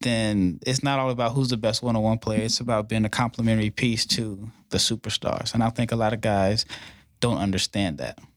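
A man with an American accent talks at a fairly quick pace in a medium pitch, using an unremarkable speaking voice and fairly even intonation. The recording is very clean with a silent background and a dry, close sound with no echo. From Nebraska, Omaha. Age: 40s. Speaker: basketball trainer and YouTuber. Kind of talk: casual chat. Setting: studio.

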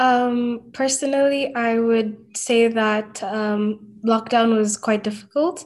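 Fairly high in pitch, a woman speaks at a very slow pace. Her intonation stays fairly even. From Kenya. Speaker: university student. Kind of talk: casual chat.

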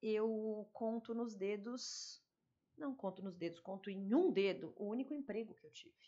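With a normal speaking voice, a woman talks at a fairly slow pace in a fairly high pitch, her intonation lively and her loudness swinging widely. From São Paulo. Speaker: lawyer turned fashion store owner and mentor. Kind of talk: casual interview.

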